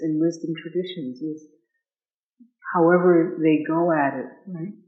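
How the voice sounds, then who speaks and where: Delivered at a fairly slow pace, the speech is monotone and flat, broken by long, frequent pauses. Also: man. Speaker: dharma teacher. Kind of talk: dharma talk.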